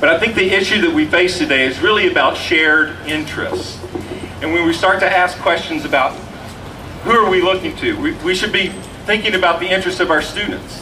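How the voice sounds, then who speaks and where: Over noticeable background noise, a man with a high pitch talks at a fairly quick pace with lively intonation. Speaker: rally emcee and education academic. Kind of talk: rally speech. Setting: outdoor rally with audience. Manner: hesitant, searching for words.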